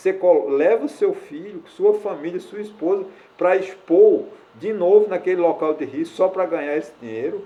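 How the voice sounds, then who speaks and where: This man speaks with a high pitch. His pace is moderate. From Brazilian Northeast. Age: 60s. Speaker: YouTuber, social commentator. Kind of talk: opinion monologue to camera. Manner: halting, with many fillers.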